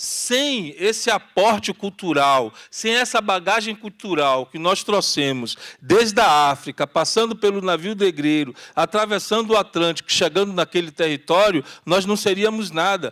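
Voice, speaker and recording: This man has a high pitch, a bright, sharp tone and lively intonation, talking at a fairly slow pace with hardly any pauses in a very clean, silent recording with a dry, close sound and no echo. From Brazil, Salvador (Bahia), Curuzu neighborhood. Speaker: activist panelist. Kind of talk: panel talk.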